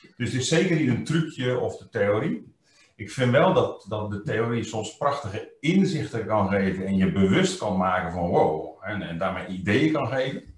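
A somewhat breathy man speaks at a moderate pace, his pitch swinging very widely and his loudness rising and falling sharply, with audible room echo. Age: 50s. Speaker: trainer. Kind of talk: interview. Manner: hesitant, many fillers. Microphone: webcam.

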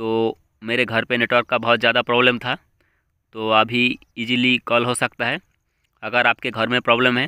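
A man talks with monotone, flat intonation. The background is quiet. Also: dry sound with no echo. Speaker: tech channel host. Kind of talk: tutorial. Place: home room. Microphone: phone near.

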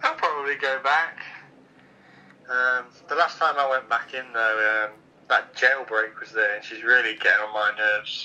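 At a moderate pace, a man speaks with fairly even intonation and long, frequent pauses. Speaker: caller. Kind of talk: playful phone chat. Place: home room. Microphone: phone line.

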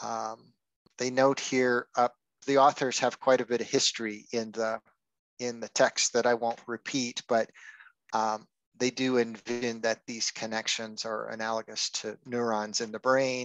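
Dry and without echo, a man's monotone, flat voice moves at a moderate pace. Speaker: book club presenter. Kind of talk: lecture. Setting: video call. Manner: halting, many fillers. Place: home room.

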